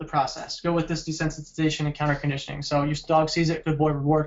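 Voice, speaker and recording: Very fast delivery in a flat, monotone intonation. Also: man. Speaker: dog trainer. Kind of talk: webinar presentation.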